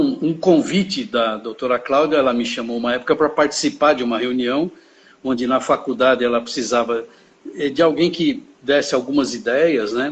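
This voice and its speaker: At a moderate pace, a man talks in a fairly high pitch. His pitch variation is ordinary. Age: 60s. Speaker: volunteer administrator. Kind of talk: interview. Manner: halting, many fillers.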